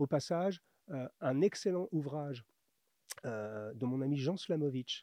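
Very slowly, a man speaks with lively intonation in a fairly high-pitched voice with a dark, mellow tone. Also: dry, close sound with no echo. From France. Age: 50s. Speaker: menswear author and YouTuber. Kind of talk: interview.

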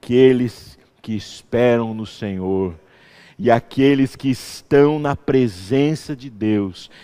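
The recording is very clean against a silent background. A man talks at a very slow pace. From interior of São Paulo state, Brazil. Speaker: pastor. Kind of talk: sermon. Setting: church.

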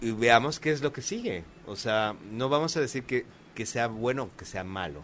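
A man with a normal speaking voice talks at a medium pitch and fairly slow pace, his intonation lively. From Mexico. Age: 40s. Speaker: YouTuber and playwright. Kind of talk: casual chat.

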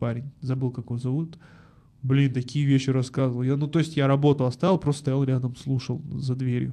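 At a fairly quick pace, a man speaks at a medium pitch with a dark, mellow tone. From Almaty, Kazakhstan. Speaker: advertising agency founder and podcast studio owner. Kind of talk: casual interview chat. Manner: animated, casual, slangy.

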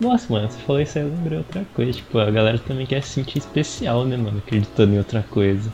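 Over noticeable background noise, a man talks very fast with hardly any pauses. His pitch is medium, with ordinary variation. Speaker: podcast co-host. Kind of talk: casual chat.

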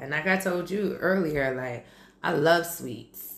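A woman speaks at a very deep, low pitch. She moves at a very slow pace with ordinary pitch variation. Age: 30s. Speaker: podcast host and group fitness instructor. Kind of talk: casual chat.

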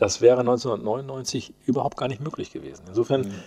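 Vocal fry in a man's voice with ordinary pitch variation. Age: 60s. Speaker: mayor. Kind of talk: interview. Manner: hesitant, many filler sounds.

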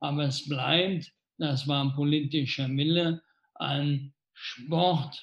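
A man with a fairly high pitch talks at a very slow pace. His voice is somewhat breathy, and his intonation is monotone and flat. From Rhineland, Germany (Wesseling near Cologne). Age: 60s. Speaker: mayor. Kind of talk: live Q&A interview. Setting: Facebook livestream.

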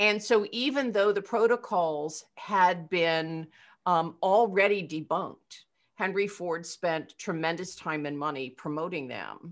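A woman's unremarkable speaking voice with an American accent, fairly low in pitch, fairly slow, with ordinary pitch variation. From Eastern Pennsylvania. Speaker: rabbi. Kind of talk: casual chat.

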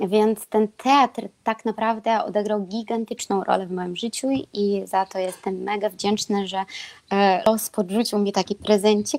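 Speaking fairly slowly, a woman has an ordinary speaking voice at medium pitch with fairly even intonation. The recording is very clean with a silent background, dry and close with no echo. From Belarus. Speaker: swing dancer and performer. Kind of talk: live-streamed panel discussion.

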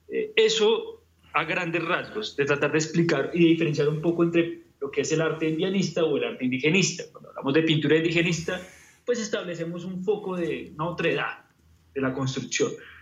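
Fairly quick speech from a man, high-pitched, with ordinary pitch variation. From Colombia, Bogotá. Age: 30s. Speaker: painter. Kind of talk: interview.

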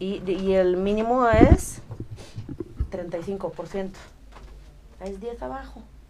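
A woman's medium-pitched voice at a very slow pace, with ordinary pitch variation, long, frequent pauses and audible room echo. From Romania. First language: Romanian (speaking Spanish). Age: 30s. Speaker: aesthetic doctor. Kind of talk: casual chat with medical explanation.

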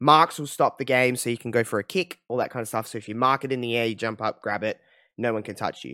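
In an Australian accent, a man talks at a very fast pace with medium pitch, ordinary pitch variation and a bright, sharp, animated tone, in a dry, close recording without echo. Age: 20s. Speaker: podcast host. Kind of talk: casual chat. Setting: video call.

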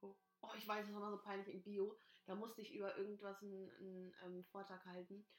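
A woman's animated, medium-pitched voice at a very fast pace. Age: 20s. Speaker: podcast host. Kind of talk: casual chat. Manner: animated, frequent laughing.

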